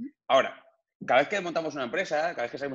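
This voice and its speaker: A man is speaking here. His pitch sits fairly high, with ordinary variation. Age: 30s. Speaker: digital entrepreneur. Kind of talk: interview. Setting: video call.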